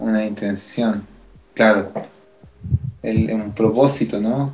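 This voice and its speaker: A man with a Chilean accent speaks at a medium pitch. His intonation is monotone and flat. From Chile, Quilpué (Valparaíso region). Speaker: musician, percussionist. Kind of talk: casual chat.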